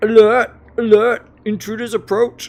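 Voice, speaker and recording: In a put-on character voice, the intonation stays monotone and flat. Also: man. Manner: alarmed, shouting.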